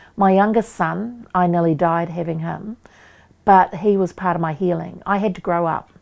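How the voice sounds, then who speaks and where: Against a quiet background, a woman with a New Zealand accent speaks at a moderate pace, her fairly low pitch carrying fairly even intonation. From New Zealand, Waikato. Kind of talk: interview.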